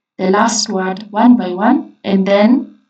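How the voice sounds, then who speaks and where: A woman's somewhat breathy voice with a dark, mellow tone, fairly even intonation and a non-native accent. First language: not English. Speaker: coding tutor. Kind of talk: tutorial. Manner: casual, hesitant with fillers.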